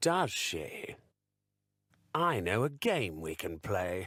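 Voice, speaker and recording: A man puts on a character voice, fairly low in pitch and very slow. The recording is very clean, with a silent background. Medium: read story. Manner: falsely friendly.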